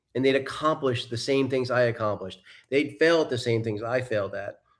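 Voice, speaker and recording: The recording is very clean, with a silent background, and a man talks in a plain, everyday voice at medium pitch. He goes at a fairly quick pace with fairly even intonation. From US Northeast, New York suburbs. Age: 60s. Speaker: life coach and mentor. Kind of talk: interview. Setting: live broadcast.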